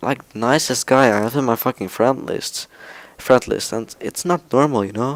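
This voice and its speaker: A man with a non-native accent talks at a moderate pace with ordinary pitch variation, the sound dry and close with no echo. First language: not English. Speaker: gaming YouTuber. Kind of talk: casual gaming vlog talk. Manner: quiet, speaking softly at night; halting, many fillers.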